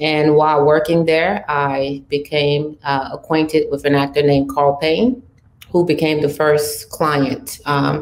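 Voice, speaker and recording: A woman with a very deep, low pitch speaks fairly slowly, keeping her intonation fairly even. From Cameroon, raised in Paris. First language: French. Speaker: talent manager. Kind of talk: panel discussion. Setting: virtual panel.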